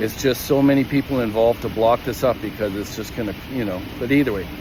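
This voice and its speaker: Fairly quick speech from a man, ordinary pitch movement, noticeable noise in the background. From Canada, Calgary, Alberta. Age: 60s. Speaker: equipment operator telling a workplace grievance. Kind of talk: personal testimony vlog. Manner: halting, many fillers and restarts.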